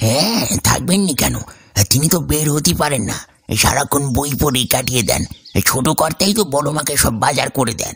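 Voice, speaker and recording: A man puts on a character voice with lively intonation. His pitch is fairly high and his pace moderate. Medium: audio drama. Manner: rustic, deferential.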